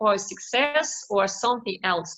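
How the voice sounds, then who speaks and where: A woman speaks with a non-native accent, her tone bright and sharp. Her intonation is lively and her pace very slow. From Ukraine (Kyiv, later Crimea). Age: 40s. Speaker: Rotary club president. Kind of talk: presentation. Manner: halting, many fillers.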